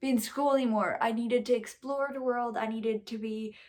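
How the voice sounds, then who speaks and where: A woman's fairly high-pitched voice in a Quebec accent, with ordinary pitch variation. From Quebec, Rouyn-Noranda. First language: French. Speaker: vlogger and musician. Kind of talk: personal storytelling vlog. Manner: casual, with many fillers.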